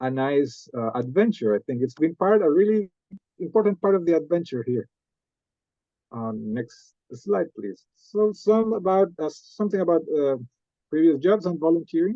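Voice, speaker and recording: A man with a Costa Rican accent speaks at a high pitch and a moderate pace. His pitch makes very wide swings. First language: Spanish. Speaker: MBA student. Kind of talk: presentation talk. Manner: halting, with many fillers.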